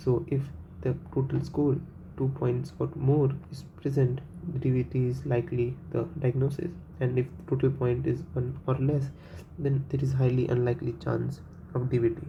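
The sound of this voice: A man's medium-pitched voice with vocal fry, little pitch movement, a moderate pace and few pauses.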